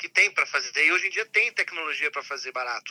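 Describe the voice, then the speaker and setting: With a bright, sharp tone and lively intonation, a man talks at a fairly quick pace in a dry, close sound with no echo. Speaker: podcast co-host. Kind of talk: casual interview chat. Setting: remote call.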